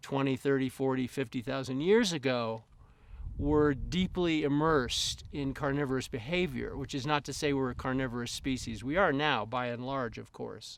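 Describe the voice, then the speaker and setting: An ordinary speaking voice, a man at medium pitch and a moderate pace. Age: 60s. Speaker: ecologist. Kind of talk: interview.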